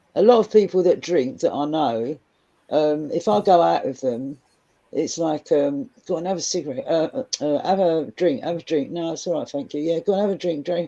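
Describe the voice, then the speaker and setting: A woman's fairly low, dark, mellow voice in a Cockney accent, with lively intonation at a moderate pace. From London (Cockney). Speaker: guest on live stream panel. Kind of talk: casual chat.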